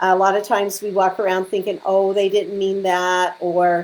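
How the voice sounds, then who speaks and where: She has a plain, everyday voice at medium pitch. The woman speaks at a moderate pace. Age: 60s. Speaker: feng shui consultant. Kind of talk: live stream talk. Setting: live video stream. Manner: casual.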